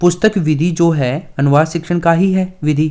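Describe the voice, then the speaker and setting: A man's high pitch with ordinary pitch variation. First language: Dhundhari (speaking Hindi). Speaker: online exam-prep teacher. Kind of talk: lecture.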